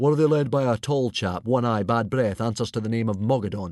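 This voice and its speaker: A man puts on a booming character voice at medium pitch, talking at a fairly quick pace. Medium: read story. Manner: hearty, booming.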